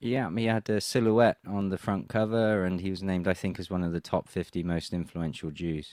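A man with an English accent and a very deep, low pitch speaks at a fairly quick pace with hardly any pauses and ordinary pitch variation over a quiet background. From England. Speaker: political commentator. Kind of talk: interview.

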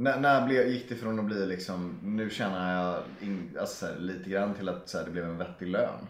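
The speech has ordinary pitch variation. Audible room echo surrounds it. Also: man, fairly low pitch for a man, moderate pace, hardly any pauses. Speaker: podcast host. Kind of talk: casual chat.

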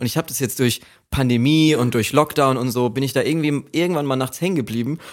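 A man talks at a very fast pace. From Germany, Aschaffenburg (Lower Franconia). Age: 20s. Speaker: author of a graphic novel. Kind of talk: casual chat.

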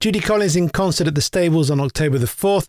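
With an English accent, the voice moves at a fairly quick pace with lively intonation, in a dry, close sound with no echo. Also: man. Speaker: podcast host. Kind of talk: interview.

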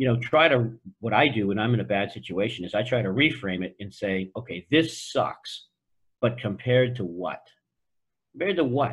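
This man has an American accent, a somewhat breathy voice and lively intonation. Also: medium pitch for a man, moderate pace. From US Northeast (Boston). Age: 60s. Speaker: entrepreneur. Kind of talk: interview. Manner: direct, assertive with a warm tone.

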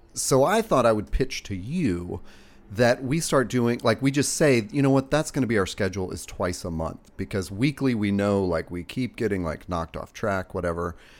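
Moderate pace and lively intonation from a man with a slight Southern US accent. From US South. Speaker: podcast host. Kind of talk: casual chat.

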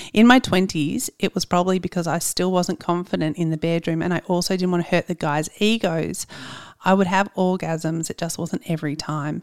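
Speaking at a fairly quick pace with an Australian accent, a woman with a fairly low pitch keeps fairly even intonation in a very clean recording with a silent background and a dry, close sound with no echo. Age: 40s. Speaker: podcast producer. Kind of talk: casual chat.

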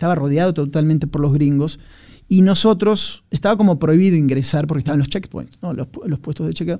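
A man's fairly high pitch with ordinary pitch variation, a dark, mellow tone and a fairly quick pace. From Argentina. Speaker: war journalist. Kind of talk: casual interview chat.

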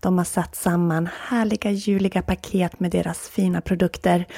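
With a soothing, calm, dark and mellow tone, a woman speaks at a fairly low pitch with fairly even intonation, somewhat breathy, in a dry, close sound with no echo. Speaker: podcast host and yoga instructor. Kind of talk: guided meditation. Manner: slow, soothing, calm; paced counting, long pauses.

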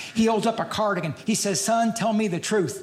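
There is audible room echo and noticeable background noise. A man speaks with an American accent. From Louisville, Kentucky. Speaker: stand-up comedian. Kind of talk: stand-up. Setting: stage with audience.

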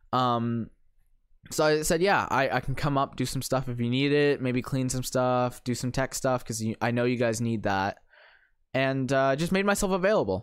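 A man talks in a normal speaking voice with a Canadian accent, medium in pitch with ordinary pitch variation. He keeps a moderate pace, and the recording is very clean with a silent background. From Ontario, Canada (St. Catharines). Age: 20s. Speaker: youth ministry worker. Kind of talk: casual chat.

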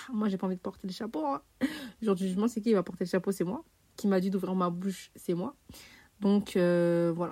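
A woman speaks at a medium pitch with an animated tone. Her pitch varies in an ordinary way. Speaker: podcast host. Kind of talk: casual chat. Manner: informal.

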